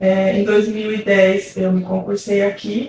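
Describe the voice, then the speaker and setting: Her pitch is medium for a woman. Her intonation is monotone and flat. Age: 40s. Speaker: university professor. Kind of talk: documentary interview.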